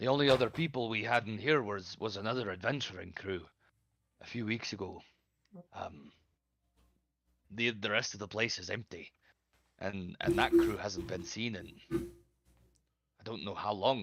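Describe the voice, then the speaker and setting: A man speaks in a put-on character voice that is raspy and fairly low-pitched, at a moderate pace with long, frequent pauses, on a very clean recording with a silent background. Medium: actual play. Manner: homely, folksy, says aye often.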